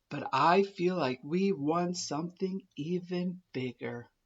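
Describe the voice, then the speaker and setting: In a put-on character voice, the speaker uses a middle pitch and a fairly slow pace. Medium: read story.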